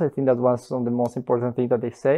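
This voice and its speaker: This is a man speaking. He has a Bolivian accent. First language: Spanish. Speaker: master's student. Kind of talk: interview answers.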